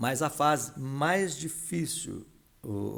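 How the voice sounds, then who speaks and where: A man's voice with vocal fry. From São Paulo city, Brazil. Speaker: entrepreneur and veterinarian. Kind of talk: podcast interview.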